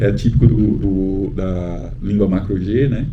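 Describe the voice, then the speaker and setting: A man's voice carries audible room echo, with noticeable background noise behind it. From Brazil, Pernambuco (Northeast). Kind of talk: talk at book event, personal testimony. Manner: hesitant, many fillers.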